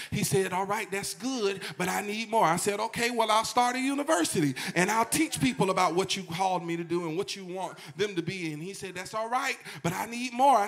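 With noticeable background noise behind him, a man speaks in a raised, projected, high-pitched voice at a moderate pace. His tone is animated and his intonation lively. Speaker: pastor. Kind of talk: sermon. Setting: church.

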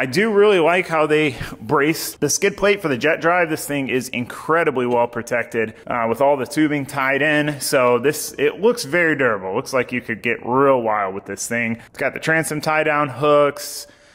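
With music in the background, a man speaks at a moderate pace with hardly any pauses. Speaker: boat build channel host. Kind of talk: casual vlog walkthrough. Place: garage. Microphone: phone near.

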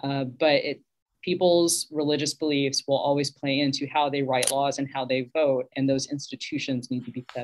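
With an American accent, a woman speaks at a moderate pace in a very deep, low pitch. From Texas. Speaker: minister. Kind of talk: panel discussion. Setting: video call. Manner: animated, conversational. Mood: thoughtful, earnest. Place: home room. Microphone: video call.

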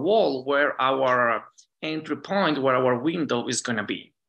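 Against a quiet background, a man with an Italian accent speaks at a moderate pace in a fairly high, bright and sharp voice with ordinary pitch variation. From Italy, Lake Garda area; Italy. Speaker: dentist and professor; professor. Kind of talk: conference lecture. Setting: virtual conference. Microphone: webcam.

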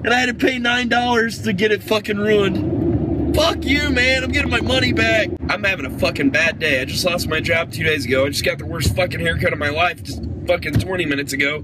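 Loud background noise sits behind a man's voice. The sound is dry, with no echo. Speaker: comedy vlogger. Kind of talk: angry ranting vlog. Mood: angry, upset rant. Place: car. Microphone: phone near.

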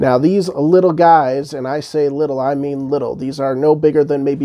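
Light background noise sits behind a man's voice. He talks at a fairly quick pace with fairly even intonation. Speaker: toy reviewer. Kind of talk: casual review intro to camera. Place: home room. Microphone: lapel.

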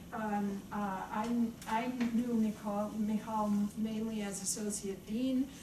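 A woman speaks over noticeable background noise. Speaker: panel moderator. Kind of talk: speaker introductions at an academic panel. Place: meeting room. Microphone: camera far.

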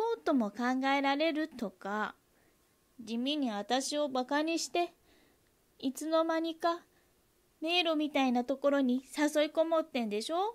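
A woman's high-pitched voice with lively intonation and long, frequent pauses in a very clean recording with a silent background. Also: moderate pace. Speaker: amateur reading-class student. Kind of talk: dramatic monologue reading. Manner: conversational, emotional, slightly irritated.

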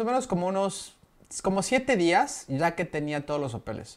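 A man with a Mexican accent speaks at a moderate pace. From Mexico. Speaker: vlogger living abroad. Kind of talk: casual vlog explainer. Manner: conversational, with frequent fillers. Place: home room.

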